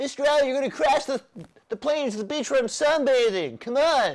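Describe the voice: A put-on character voice pitched high. The pace runs fairly quick.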